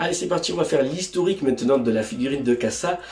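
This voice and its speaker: Words pour out very fast from a man whose pitch varies in an ordinary way. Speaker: YouTube figure reviewer. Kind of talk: product review. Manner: casual, hesitant with fillers.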